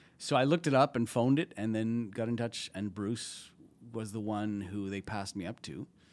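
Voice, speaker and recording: An unremarkable speaking voice comes from a man with a Canadian accent, medium in pitch and moderate in pace, on a very clean recording with a silent background. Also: ordinary pitch variation. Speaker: TV and film producer at a comedy festival. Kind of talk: casual interview chat.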